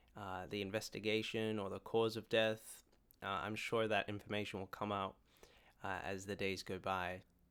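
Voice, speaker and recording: Monotone, flat intonation runs through this man's fairly low-pitched voice. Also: moderate pace, very clean recording, silent background. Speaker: YouTuber. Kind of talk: tribute vlog. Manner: halting with fillers.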